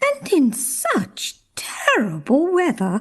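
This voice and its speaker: Pitched high for a woman, this put-on character voice sounds female and moves at a very slow pace. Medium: read story. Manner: brisk, knowing.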